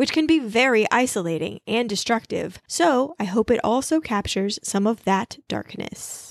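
Lively intonation marks this woman's fairly high voice. It is an ordinary speaking voice, delivered at a moderate pace. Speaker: podcast host. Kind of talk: casual chat, recap. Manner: chatty, informal.

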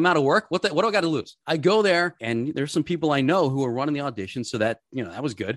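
Lively intonation comes through dry and close with no echo, over a quiet background. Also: man. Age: 40s. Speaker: television sports host and producer. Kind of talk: casual chat.

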